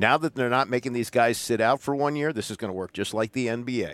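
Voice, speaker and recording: A man with a plain, everyday voice speaks at a fairly quick pace and medium pitch with ordinary pitch variation, recorded very cleanly with a silent background and a dry, close sound with no echo. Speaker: sports talk co-host. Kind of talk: casual chat.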